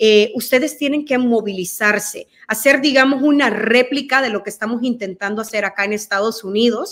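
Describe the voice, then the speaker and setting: A woman speaks with a high pitch and ordinary pitch variation. Her pace is moderate, and the background is quiet. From El Salvador. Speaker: guest commentator. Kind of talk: interview Q&A. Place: home room.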